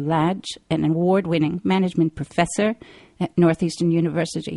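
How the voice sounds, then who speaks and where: A woman with a fairly low pitch and a dark, mellow tone is heard in dry, close sound with no echo. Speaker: radio host. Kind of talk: radio talk show interview. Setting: live call-in radio show.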